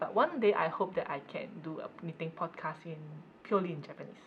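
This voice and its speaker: A woman's lively intonation carries her words along at a moderate pace. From Malaysia. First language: Cantonese. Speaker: knitting podcaster. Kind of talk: casual chat.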